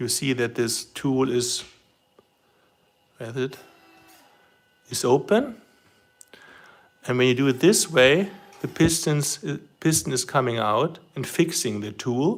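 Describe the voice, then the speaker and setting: With a German accent, a man speaks at a fairly slow pace and a medium pitch. His intonation is lively, broken by long, frequent pauses. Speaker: RC model hobbyist livestreamer. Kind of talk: live stream demonstration. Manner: halting.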